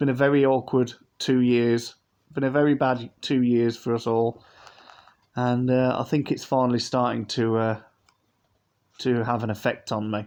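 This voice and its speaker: A man with a British accent speaks at a moderate pace and medium pitch, his intonation monotone and flat. His loudness swings widely, and he leaves long, frequent pauses. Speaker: model aircraft collector, YouTuber. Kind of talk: unboxing review. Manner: casual, hesitant.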